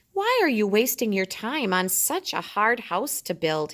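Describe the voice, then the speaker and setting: A woman performs a put-on character voice. It sits at a fairly high pitch and a moderate pace. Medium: read story.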